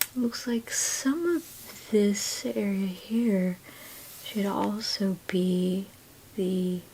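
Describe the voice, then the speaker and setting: The speaker is soft-spoken and calm in tone, moving at a very slow pace with long, frequent pauses. Noticeable background noise is present. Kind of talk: ASMR drawing tutorial talk.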